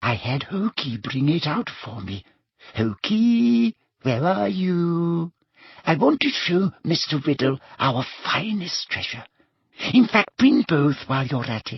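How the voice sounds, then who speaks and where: A put-on character voice pitched low to middle. It moves at a fairly slow pace. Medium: read story.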